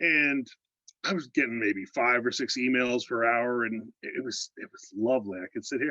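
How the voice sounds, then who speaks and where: Speaking with an American accent, a man talks at a moderate pace and a medium pitch, with ordinary pitch variation. His loudness swings widely, and the sound is dry and close, with no echo. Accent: slight Pittsburgh (Yinzer) accent at times. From Pittsburgh, Pennsylvania. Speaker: fan on a video call, call center analyst. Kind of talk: casual chat. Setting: video call.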